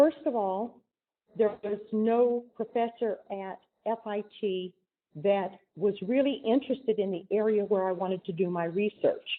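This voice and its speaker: She has an ordinary speaking voice, fairly high in pitch for a woman, with an American accent. Her pace is moderate and her pitch varies in an ordinary way. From US West, southern Oregon. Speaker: chemist. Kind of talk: lecture.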